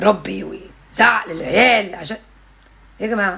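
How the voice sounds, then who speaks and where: The voice is a woman's, fairly high in pitch. She talks at a moderate pace. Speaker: parenting content creator. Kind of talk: casual vlog monologue. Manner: loud.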